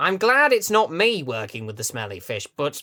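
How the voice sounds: Using a cartoonish character voice, a man speaks at a fairly high pitch. His pitch swings very widely at a moderate pace.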